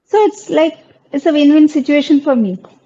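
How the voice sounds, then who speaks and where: A woman with a Bengali accent and ordinary pitch variation. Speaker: wildlife content creator. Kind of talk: panel discussion.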